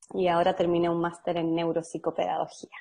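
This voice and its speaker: With a Chilean accent, a woman speaks at a fairly low pitch. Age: 20s. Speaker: podcast host. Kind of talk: casual chat.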